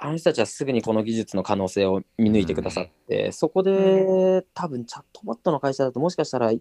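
A man with a dark, mellow tone and a medium pitch talks at a fairly quick pace with hardly any pauses, his pitch swinging very widely in a dry, close sound with no echo. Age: 20s. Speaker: startup founder. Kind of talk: interview.

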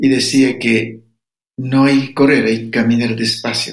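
The voice belongs to a man with a medium pitch. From Ecuadorian Amazon, Sapara people. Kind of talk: interview.

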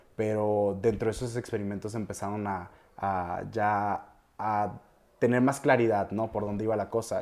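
An ordinary speaking voice from a man with a fairly low pitch, on a very clean recording with a silent background. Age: 20s. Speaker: music producer. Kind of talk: interview.

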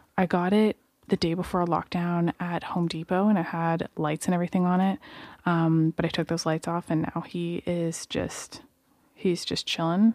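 A soft-spoken woman at a moderate pace, monotone and flat, dry and close with no echo on a very clean recording with a silent background. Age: 20s. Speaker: podcast co-host, host's wife. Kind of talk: casual chat. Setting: home studio.

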